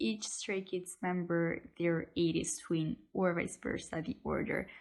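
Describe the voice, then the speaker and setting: A woman speaks at a fairly slow pace. She has a non-native accent. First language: not English. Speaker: YouTuber, K-pop fan. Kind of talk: casual vlog talk to camera. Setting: at home. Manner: hesitant, with fillers.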